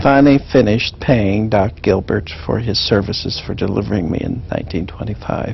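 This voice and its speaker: A man's fairly low voice with an American accent and ordinary pitch variation, at a fairly quick pace over noticeable background noise. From Kansas. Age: 50s. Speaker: education professor. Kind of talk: oral history interview. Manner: halting, many fillers.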